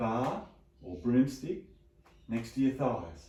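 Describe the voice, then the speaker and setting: A man talks at a very slow pace with a medium pitch and vocal fry. His tone is dark and mellow, with lively intonation. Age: 60s. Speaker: chiropractor. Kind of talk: exercise instruction. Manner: calm, steady.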